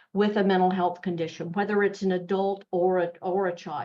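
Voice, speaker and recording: A woman with a strong Southern US accent speaks at medium pitch. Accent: Southern US, thick. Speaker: mental health nonprofit executive. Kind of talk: webinar presentation. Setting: online webinar. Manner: conversational, with fillers.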